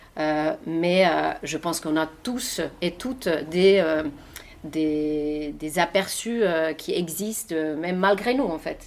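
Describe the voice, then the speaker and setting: Fairly low female pitch with ordinary pitch variation, at a very slow pace. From Finland. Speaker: journalist and author. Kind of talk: interview answer.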